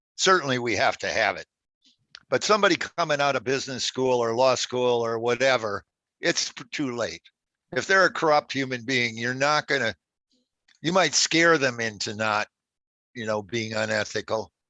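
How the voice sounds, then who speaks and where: A man talks at a moderate pace with a bright, sharp tone. He leaves long, frequent pauses. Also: medium pitch for a man, ordinary pitch variation, dry, close sound with no echo, quiet background. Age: 70s. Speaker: Islamic finance lawyer. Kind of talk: webinar Q&A interview. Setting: online webinar. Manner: halting, with false starts.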